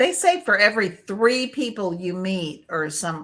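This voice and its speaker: A woman with a New England accent speaks at a fairly slow pace. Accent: Yankee. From Connecticut. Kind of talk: casual chat.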